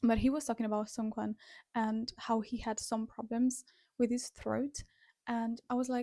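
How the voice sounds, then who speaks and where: Speaking at a moderate pace, a woman with a fairly high voice and a dark, mellow tone keeps a flat, monotone intonation, recorded dry and close with no echo. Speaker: music reaction youtuber and singer. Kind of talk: casual reaction commentary.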